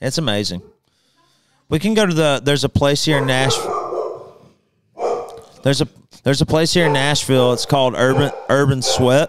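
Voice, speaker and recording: A man with a Southern US accent and a fairly high pitch, moderate pace, ordinary pitch variation, and long, frequent pauses, over noticeable background noise. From Alabama, Birmingham. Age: 30s. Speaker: country singer; podcast guest. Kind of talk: casual chat. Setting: studio. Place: studio. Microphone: studio mic.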